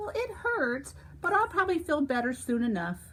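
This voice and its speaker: A female-sounding voice performs a put-on character voice. The pitch is high. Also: moderate pace. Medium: read story. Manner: friendly, helpful.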